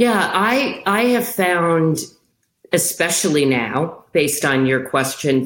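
A woman is speaking. Her pace is fairly slow. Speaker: media company CEO. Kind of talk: interview. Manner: loud; animated.

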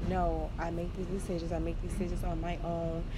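With audible room echo and noticeable background noise around her, a woman talks at a fairly quick pace. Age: 20s. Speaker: podcast host. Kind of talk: personal diary monologue. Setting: outdoors. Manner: casual, hesitant with many fillers.

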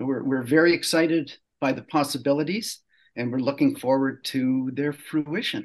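A plain, everyday voice from a man, fairly high in pitch with ordinary variation, at a moderate pace over a quiet background. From Canada. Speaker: poet. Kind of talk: interview conversation.

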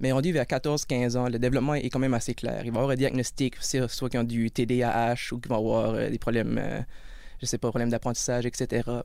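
A man at a fairly quick pace, his loudness very even and his intonation flat and monotone. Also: medium pitch for a man. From Acadian Peninsula, New Brunswick. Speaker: support worker and criminology student. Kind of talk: interview. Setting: studio.

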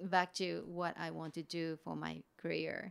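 Speaking with a Japanese accent, a woman talks at a fairly slow pace in a fairly low voice. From Japan, Kofu. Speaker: artist. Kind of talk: interview. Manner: halting.

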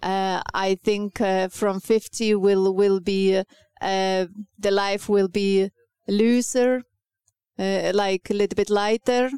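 A woman speaks slowly with little pitch movement, in a clear, smooth, yet dark, mellow tone. The sound is dry and close with no echo. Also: medium pitch for a woman.

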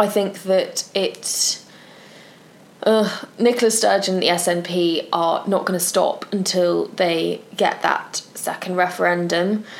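A woman at medium pitch talks at a very slow pace with fairly even intonation, with noticeable background noise behind her. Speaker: podcast co-host. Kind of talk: casual chat.

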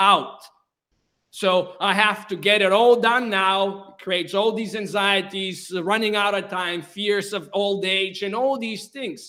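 At a fairly slow pace, a man projects a raised voice with high pitch, fairly even intonation and a bright, sharp tone. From Bulgaria. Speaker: author and well-being speaker. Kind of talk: interview.

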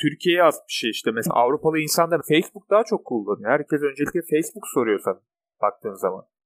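Delivered at a very fast pace, this voice shows vocal fry and very wide pitch swings in a dry, close sound with no echo. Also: man, fairly high pitch for a man. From Turkey. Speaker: podcast co-host. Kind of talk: casual chat.

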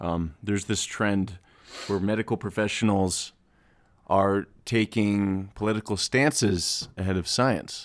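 A man with an unremarkable speaking voice talks at a fairly low pitch and a fairly slow pace, keeping his intonation fairly even in a very clean recording with a silent background. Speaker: podcast host. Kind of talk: casual chat.

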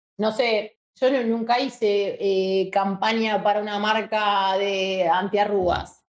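Delivered at a very slow pace, the speech keeps a monotone, flat intonation. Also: woman, medium pitch for a woman. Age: 30s. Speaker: advertising strategist. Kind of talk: casual interview.

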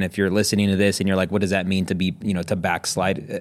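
A man with fairly low pitch talks at a very fast pace. The recording is very clean, with a silent background. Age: 30s. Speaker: podcast host. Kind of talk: casual interview chat.

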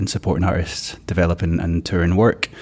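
In a Glasgow accent, a man speaks with a very deep, low pitch and a monotone, flat intonation. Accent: Glasgow Scottish. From Scotland, Glasgow. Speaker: circus producer. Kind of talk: interview.

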